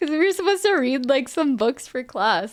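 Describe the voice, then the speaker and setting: The speaker has a Spanish accent. The recording is very clean, with a silent background. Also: woman. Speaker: streamer. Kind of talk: casual chat.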